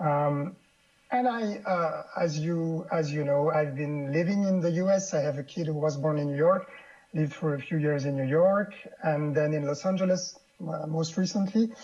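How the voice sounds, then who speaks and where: A man with a French accent talks at a moderate pace. His fairly high pitch shows ordinary variation. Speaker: political cartoonist. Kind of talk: interview. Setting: studio. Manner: halting.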